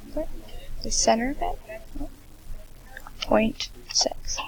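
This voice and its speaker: The speaker whispers quietly. Noticeable background noise sits behind the voice. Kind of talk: screen-recording software tutorial narration. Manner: whispered, quiet.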